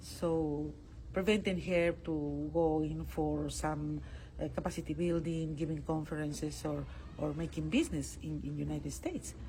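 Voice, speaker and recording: Speaking at a moderate pace with a Spanish accent, a woman is heard with audible room echo. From Peru. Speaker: international court judge. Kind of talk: interview. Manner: halting, with frequent fillers and repetitions.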